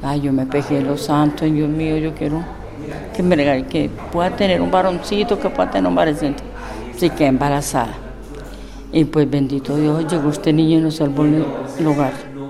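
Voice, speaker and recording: Over noticeable background noise and audible room echo, a woman with a very deep, low pitch talks at a moderate pace with ordinary pitch variation. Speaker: interviewee, mother of guest. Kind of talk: interview testimony.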